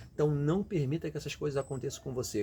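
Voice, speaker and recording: Very fast speech from a man, with lively intonation. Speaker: immigrant career vlogger. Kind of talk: motivational talk. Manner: casual, conversational; halting, repeats words.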